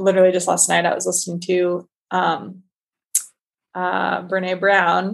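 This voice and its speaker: At a moderate pace, a woman talks at medium pitch with an American accent. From Northern California. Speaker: artist and creative program leader. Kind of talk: casual interview conversation.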